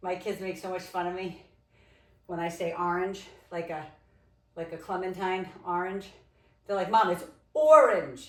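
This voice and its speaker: A woman with an American accent, ordinary pitch variation, long and frequent pauses, and audible room echo. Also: medium pitch for a woman, moderate pace. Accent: Rhode Island accent, comes out at times. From Rhode Island, US. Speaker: fitness instructor. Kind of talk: workout instruction. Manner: casual, chatty.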